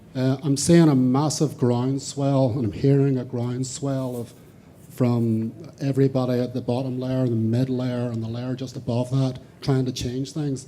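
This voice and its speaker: Medium-pitched male voice in a dark, mellow tone, with monotone, flat intonation, a moderate pace and audible room echo. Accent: Northern Irish. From Northern Ireland, Larne. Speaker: audience member, coding club volunteer. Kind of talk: audience question. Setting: conference with audience.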